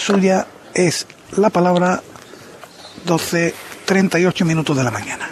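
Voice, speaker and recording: This man's voice sits high in pitch, with noticeable background noise behind it. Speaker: radio commentator. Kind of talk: live radio commentary. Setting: radio broadcast.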